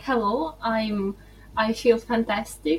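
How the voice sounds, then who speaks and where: A woman talks very slowly at a fairly high pitch with ordinary pitch variation. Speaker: English teacher. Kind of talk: interview. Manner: halting, many fillers.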